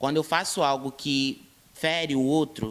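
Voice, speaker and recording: The speaker is a man using a normal speaking voice, with a fairly high pitch. He keeps a medium pace and ordinary pitch variation. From Brazil, Rio de Janeiro state (São Gonçalo). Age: 20s. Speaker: interviewee, activist. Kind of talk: interview.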